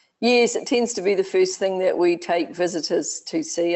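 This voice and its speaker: The pace of this speech is moderate. The speaker is a woman with a New Zealand accent. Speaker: education consultant, expat. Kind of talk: webinar interview.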